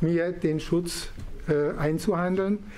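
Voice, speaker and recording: Very slow speech over light background noise. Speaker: vaccinated senior citizen. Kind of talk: interview answer. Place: hall. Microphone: studio mic.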